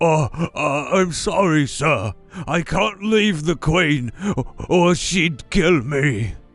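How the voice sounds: In a put-on character voice with a British accent, someone speaks very slowly at a middle pitch over faint music in the background.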